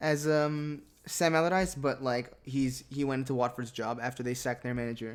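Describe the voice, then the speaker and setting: The voice carries an American accent with hardly any pauses. The recording is very clean, the background silent. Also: moderate pace. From United States. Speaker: football podcast host. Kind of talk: casual chat. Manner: halting, many repeated words.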